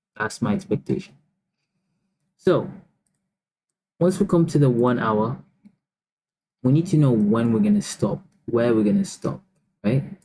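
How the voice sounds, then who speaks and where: Somewhat breathy and at medium pitch, a man talks at a moderate pace with very wide pitch swings and long, frequent pauses. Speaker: trading educator. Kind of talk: market analysis tutorial. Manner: casual, filler-heavy.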